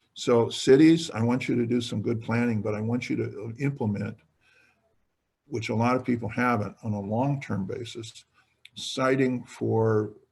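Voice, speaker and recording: With an American accent, a man speaks at a medium pitch in a somewhat breathy voice. His intonation is fairly even. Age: 60s. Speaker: retiring state politician. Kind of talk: webinar talk. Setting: webinar.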